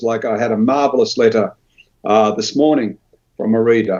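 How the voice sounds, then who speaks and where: A man at a moderate pace with an Australian accent. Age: 70s. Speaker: author. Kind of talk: interview.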